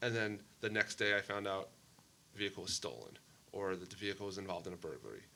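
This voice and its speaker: A man with an American accent and a fairly low voice speaks very fast in a bright, sharp tone with vocal fry and fairly even intonation. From Maine, US Northeast. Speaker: mayor and former police officer. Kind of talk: podcast interview. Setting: sit-down interview.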